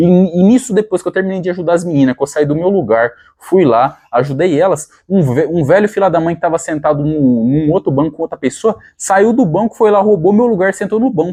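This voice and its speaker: Speaking fairly quickly with lively intonation, a man with a high pitch and a dark, mellow tone comes through dry and close with no echo. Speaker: fitness vlogger. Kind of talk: casual vlog storytelling. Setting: at home. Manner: halting, many repetitions.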